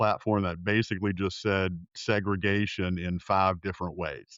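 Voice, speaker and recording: A man speaks with a Southern US accent. His pace is fairly slow. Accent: Southern American. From US South, South Carolina. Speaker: political science professor and pollster. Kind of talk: interview. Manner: hesitant, frequent fillers.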